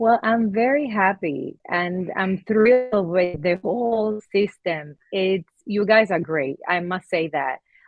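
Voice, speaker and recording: Music plays in the background as a woman speaks at a very slow pace with lively intonation and hardly any pauses. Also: medium pitch for a woman. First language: Spanish. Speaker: laundromat owner. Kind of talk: testimonial interview. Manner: halting, with fillers.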